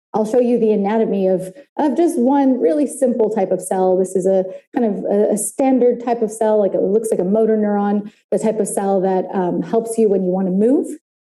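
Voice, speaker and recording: Amid audible room echo, a woman speaks at a fairly quick pace with a dark, mellow tone and fairly high pitch, her loudness very even and her pitch varying in an ordinary way. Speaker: neuroscientist speaker. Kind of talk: conference talk. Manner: fast; animated.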